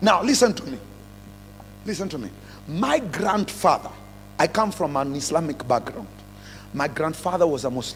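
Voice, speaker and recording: A man with a Kenyan accent and fairly high pitch speaks at a moderate pace, with very wide pitch swings and long, frequent pauses. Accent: Kenyan accent, noticeable. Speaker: pastor. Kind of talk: sermon. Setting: church revival service with congregation. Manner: animated.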